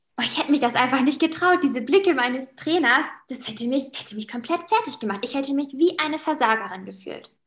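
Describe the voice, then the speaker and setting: Talking very fast with hardly any pauses, a woman uses a high pitch, lively intonation and big swings in loudness. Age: 20s. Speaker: teacher and former athlete. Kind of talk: interview.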